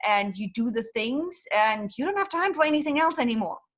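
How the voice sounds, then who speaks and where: This woman has a German accent. Her voice sits high in pitch. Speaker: business consultant. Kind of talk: interview. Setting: podcast. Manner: blunt.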